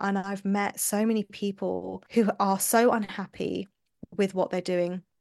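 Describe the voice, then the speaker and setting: A woman with a London accent speaks at medium pitch with fairly even intonation. Behind her, the background is quiet. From London, England. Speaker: somatic mindset coach. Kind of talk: podcast interview.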